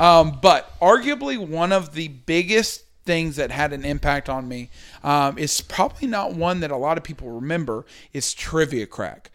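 In a normal speaking voice, a man with a fairly high pitch talks at a moderate pace with big swings in loudness, on a very clean recording with a silent background. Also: lively intonation. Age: 20s. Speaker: podcast host. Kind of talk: casual chat.

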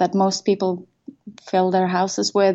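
A woman speaks with a Norwegian accent. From Norway. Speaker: tech start-up co-founder. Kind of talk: interview. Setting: video call.

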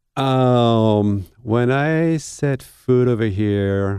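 With a French accent, a man speaks in a dark, mellow tone. His pitch varies in an ordinary way. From France. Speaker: baker and bakery owner. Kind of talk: interview. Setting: studio.

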